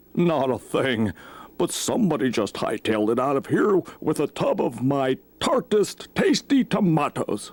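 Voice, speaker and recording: A man adopts a put-on character voice and talks at a moderate speed. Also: fairly high pitch for a man. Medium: read story.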